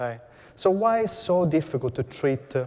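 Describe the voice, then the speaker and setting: With a somewhat breathy voice and ordinary pitch variation, a man talks at a fairly quick pace. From Italy. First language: Italian. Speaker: cancer researcher. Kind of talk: research presentation to an audience. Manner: hesitant, with fillers.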